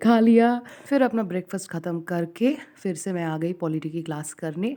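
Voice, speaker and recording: A woman with a non-native accent speaks in a dark, mellow tone with ordinary pitch variation. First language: not Hindi (speaking Hindi). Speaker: student vlogger. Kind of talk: study vlog narration. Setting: at home. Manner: hesitant, with fillers.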